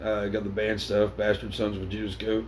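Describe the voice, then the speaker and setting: Fairly low male voice, with audible room echo around it. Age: 30s. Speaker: podcast co-host. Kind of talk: casual chat.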